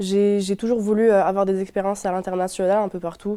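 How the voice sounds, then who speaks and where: A woman talks at a moderate pace in a medium pitch, her tone dark and mellow. Her intonation stays monotone and flat. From Morocco. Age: 20s. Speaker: university student. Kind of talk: testimony. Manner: hesitant, many fillers.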